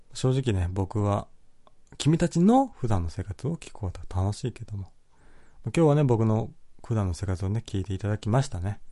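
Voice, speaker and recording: This man has a dark, mellow tone at a fairly low pitch, somewhat breathy and relaxed, with lively intonation at a moderate pace. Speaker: podcast host reading listener comments. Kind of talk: casual solo talk. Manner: frequent laughter, relaxed.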